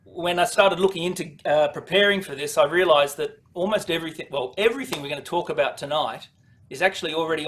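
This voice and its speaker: Male speech in an Australian accent, with ordinary pitch variation. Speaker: product presenter for dealers. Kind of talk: webinar presentation. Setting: online webinar.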